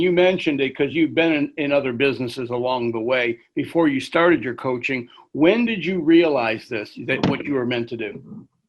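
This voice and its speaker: A man uses an ordinary speaking voice with lively intonation. He talks at a fairly quick pace with hardly any pauses. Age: 60s. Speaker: podcast host. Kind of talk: podcast interview.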